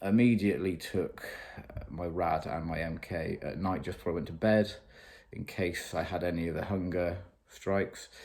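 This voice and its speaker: A man with a British accent, a very deep, low pitch, ordinary pitch variation and a moderate pace. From UK. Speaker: fitness vlogger. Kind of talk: video diary. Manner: casual, hesitant with fillers.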